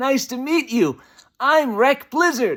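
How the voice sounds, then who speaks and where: The put-on character voice is high in pitch and moves at a fairly slow pace. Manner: overdone, cartoonish.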